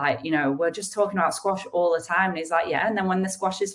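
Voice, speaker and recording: The speaker is a woman. She has a northern English accent. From northern England. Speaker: retired professional squash player, author. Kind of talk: interview. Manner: halting, many restarts.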